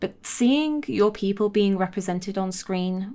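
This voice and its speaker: A woman mumbles in a very clean recording with a silent background. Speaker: video essayist. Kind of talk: scripted narration; casual chat. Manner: mumbling.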